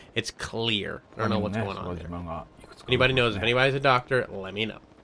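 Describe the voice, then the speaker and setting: Over noticeable background noise, a man speaks very fast at a fairly low pitch, with ordinary pitch variation. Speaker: streamer reacting to game footage. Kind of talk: casual live stream commentary.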